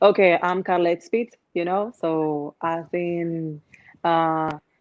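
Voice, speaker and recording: Very slowly, a woman speaks with a Dominican accent, a fairly low pitch and fairly even intonation. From Dominican Republic. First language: Spanish. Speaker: urban music singer. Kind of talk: interview. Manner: halting.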